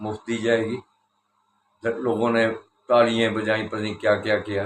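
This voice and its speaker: A man talks at a medium pitch. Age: 60s. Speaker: political commentator. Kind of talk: political commentary monologue.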